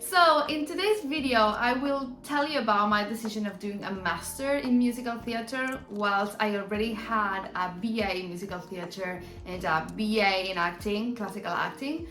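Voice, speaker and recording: A woman with an Argentine accent speaks at a moderate pace with hardly any pauses, her fairly high pitch carrying lively intonation. Music plays behind her, and the room echo is audible. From Argentina. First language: Spanish. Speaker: musical theatre performer and vlogger. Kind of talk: casual vlog talk. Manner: halting, many fillers.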